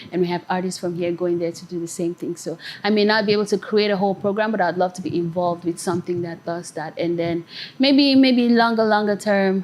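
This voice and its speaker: Very fast speech from a woman, medium in pitch, ordinary in pitch variation, against noticeable background noise. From Nigeria. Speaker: singer-songwriter. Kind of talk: interview. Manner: animated.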